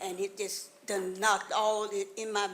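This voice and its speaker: A woman with a Mississippi accent speaks at a fairly slow pace and a medium pitch. Her intonation is monotone and flat, and there is audible room echo. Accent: Southern US, Mississippi. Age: 80s+. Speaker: resident speaking at public comment. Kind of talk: public comment at council meeting.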